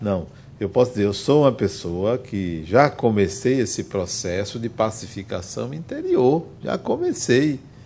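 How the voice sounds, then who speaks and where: Dark and mellow in tone, a man speaks at a fairly slow pace. His intonation is lively. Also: medium pitch for a man. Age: 60s. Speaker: spiritist lecturer. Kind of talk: lecture. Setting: spiritist center with audience.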